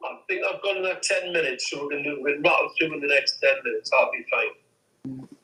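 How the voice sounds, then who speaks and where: A man with a British accent talks at a fairly quick pace. He leaves hardly any pauses. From England. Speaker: engineer and weapons researcher. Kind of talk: Q&A interview. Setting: online audio room.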